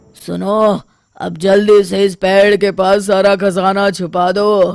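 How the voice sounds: A man uses a cartoonish character voice pitched high. He speaks at a fairly slow pace in a flat monotone.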